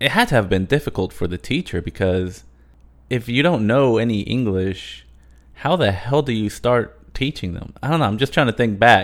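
A man talks at a moderate pace in an unremarkable speaking voice. His pitch is medium and his intonation lively. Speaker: podcast host. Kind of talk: casual interview chat.

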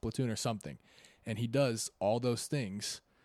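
Here a man has an unremarkable speaking voice at a medium pitch with ordinary pitch variation, moving at a fairly quick pace. The recording is very clean with a silent background. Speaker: podcast co-host. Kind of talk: casual chat.

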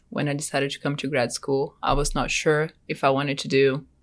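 A woman with a Brazilian accent, very deep, low pitch and moderate pace, against a quiet background. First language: Portuguese. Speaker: graduate student. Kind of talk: casual interview chat.

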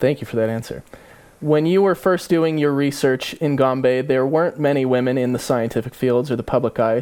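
A man talks at a fairly quick pace in a plain, everyday voice, with medium pitch and ordinary pitch variation. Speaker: podcast host and interviewer. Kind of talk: interview questions.

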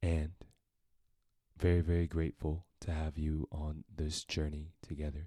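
A man with a very deep, low pitch and a dark, mellow, somewhat breathy tone speaks in a monotone, flat line at a fairly slow pace, with long, frequent pauses and a dry, close sound with no echo. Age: 20s. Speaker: podcast host, musician and entrepreneur. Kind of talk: solo podcast monologue.

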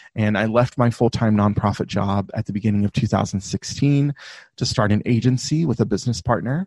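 In an American accent, a man speaks at a medium pitch and a moderate pace with ordinary pitch variation. His loudness is very even, and the sound is dry and close with no echo over a quiet background. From US South. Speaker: online business coach. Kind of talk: casual interview chat.

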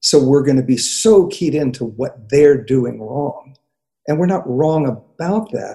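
Fairly slow and somewhat breathy, a man speaks at a fairly high pitch with lively intonation and a dark, mellow tone. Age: 60s. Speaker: therapist. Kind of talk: casual chat. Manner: halting.

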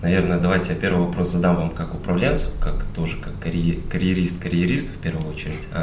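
With noticeable background noise and audible room echo, a man speaks at a moderate pace. His voice is very deep and low. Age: 20s. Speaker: young entrepreneur. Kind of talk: interview questions. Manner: formal.

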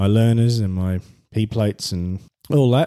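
With an Australian accent, a man speaks in a dark, mellow tone and fairly even intonation. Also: dry, close sound with no echo, very clean recording, silent background. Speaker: podcast host. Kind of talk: solo monologue. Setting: at home. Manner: halting.

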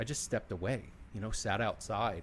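A somewhat breathy man with an American accent. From Philadelphia. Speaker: podcast host and sales executive. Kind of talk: casual interview chat.

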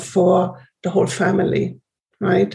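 A woman with a German accent. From Germany. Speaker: trauma healing retreat facilitator. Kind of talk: interview.

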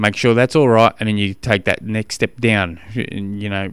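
The speaker is a man with an Australian accent. His pitch is fairly low and his intonation fairly even. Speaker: triathlon coach podcast host. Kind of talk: solo podcast monologue. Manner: fast; casual, halting with fillers.

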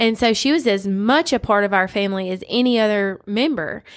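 On a very clean recording with a silent background, the speaker has a Southern US accent. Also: woman. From US South, West Tennessee. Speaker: podcast co-host. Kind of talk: casual Bible discussion. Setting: home studio.

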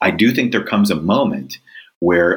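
With a Californian accent, a man speaks at a moderate pace in a very deep, low pitch. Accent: Californian American. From Southern California. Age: 50s. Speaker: leadership author and executive coach. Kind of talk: interview.

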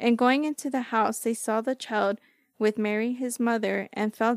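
A woman's fairly high voice, a normal speaking voice, moderate in pace and fairly even in intonation, dry and close with no echo on a very clean, silent recording. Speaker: co-host reading scripture. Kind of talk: reading aloud.

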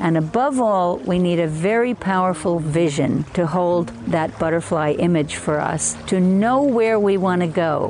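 A woman speaks at a fairly low pitch and a fairly slow pace, with lively intonation. Noticeable background noise runs underneath. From US Northeast, Hudson Valley of New York State. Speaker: evolutionary biologist and author. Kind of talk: interview.

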